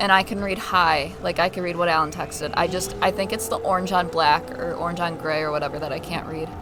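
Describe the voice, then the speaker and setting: A woman with a fairly low pitch talks at a fairly quick pace over noticeable background noise. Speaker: streamer's companion. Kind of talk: casual chat. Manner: soft-spoken.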